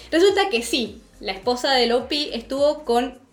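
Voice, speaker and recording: Against noticeable background noise, a woman speaks with a high pitch and lively intonation. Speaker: podcast host. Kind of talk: casual chat.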